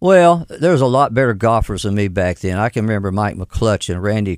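A man with a fairly low pitch speaks at a fairly quick pace in a Southern US accent. The recording is very clean with a silent background. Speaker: mayor. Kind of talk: casual interview. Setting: studio.

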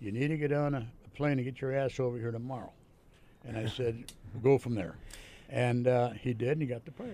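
Fairly even intonation and a fairly quick pace from a plain, everyday voice. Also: man, medium pitch for a man. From Ontario, Canada. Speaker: retired pro wrestler. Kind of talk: casual interview.

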